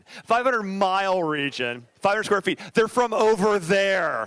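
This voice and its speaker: A man at a fairly quick pace, with an American accent. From US South. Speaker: architect. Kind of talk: presentation talk to an audience. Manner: fast; casual, joking.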